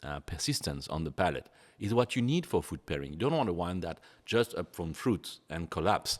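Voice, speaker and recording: In a very clean recording with a silent background, a man with a French accent speaks at a moderate pace in a very deep, low pitch with very wide pitch swings. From France. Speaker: sommelier. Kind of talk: wine tasting interview. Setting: barrel cellar.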